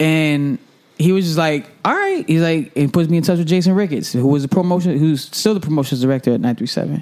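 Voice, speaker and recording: An unremarkable speaking voice from a man with an American accent, fairly high in pitch with ordinary variation, fairly quick in pace, and very even in loudness. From Hartford, Connecticut, US Northeast. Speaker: radio DJ. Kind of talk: casual interview chat.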